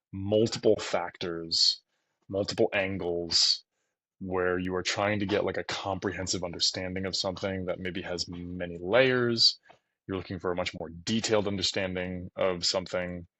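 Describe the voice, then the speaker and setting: Soft-spoken man with a very deep, low pitch, flat monotone intonation and a moderate pace. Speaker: mortgage loan officer. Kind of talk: tutorial. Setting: at home. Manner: soft-spoken, talking quietly.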